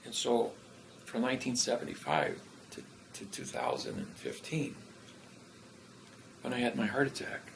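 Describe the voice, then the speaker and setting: A man speaks at a moderate pace with big swings in loudness, long, frequent pauses, and noticeable background noise. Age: 60s. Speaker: self-styled legal and grammar theorist. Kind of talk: interview storytelling. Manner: halting with many fillers.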